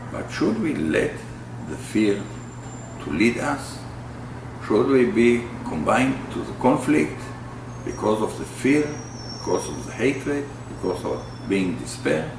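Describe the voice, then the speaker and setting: Amid audible room echo and noticeable background noise, a man at a medium pitch speaks at a fairly slow pace with very wide pitch swings. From Israel. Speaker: peace activist, bereaved father. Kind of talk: interview. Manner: halting.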